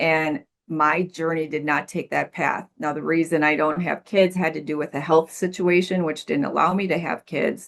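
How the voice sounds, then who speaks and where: Her pitch is very deep and low, and the woman talks at a moderate pace with hardly any pauses in a flat monotone. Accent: Midwestern American. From US Midwest. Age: 60s. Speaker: life coach and recovery mentor. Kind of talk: podcast interview.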